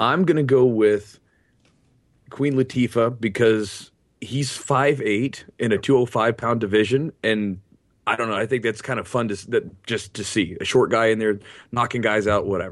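At a moderate pace, a man with an American accent speaks at a medium pitch with ordinary pitch variation against a quiet background. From Kentucky. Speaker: jiu-jitsu coach. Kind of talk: casual chat.

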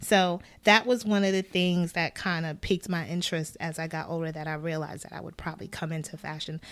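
With a New York accent, a woman with a fairly low pitch talks at a very fast pace with hardly any pauses, fairly even intonation and big swings in loudness, on a very clean recording with a silent background. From Brooklyn, New York. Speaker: wardrobe stylist and costume designer. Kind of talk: casual interview. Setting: studio.

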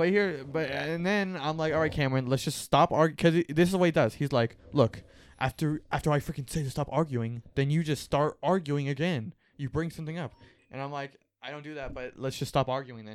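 On a very clean recording with a silent background, a man speaks fairly quickly in a fairly high pitch, with ordinary pitch variation and big swings in loudness. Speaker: podcast co-host. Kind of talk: casual chat. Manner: fast.

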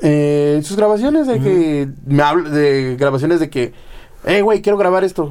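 Here a man has a dark, mellow tone at a fairly high pitch. He speaks at a moderate pace with ordinary pitch variation. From Mexico, Guadalajara. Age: young. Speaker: drummer. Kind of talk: casual chat.

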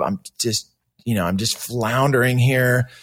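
An animated man with an American accent at a moderate pace, in a very clean recording with a silent background. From California, Santa Cruz. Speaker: punk singer and stand-up comedian. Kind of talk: casual interview chat. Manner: animated storytelling.

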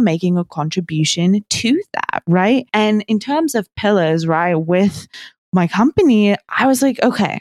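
A woman speaks in a New Zealand accent at a moderate pace. The sound is dry and close, with no echo. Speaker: smart garden company co-founder. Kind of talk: interview conversation.

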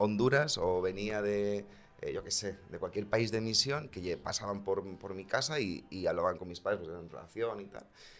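Speaking at a moderate pace with hardly any pauses, a man with a fairly low pitch, ordinary pitch variation and big swings in loudness has a normal speaking voice. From Segovia, Spain. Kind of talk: casual chat.

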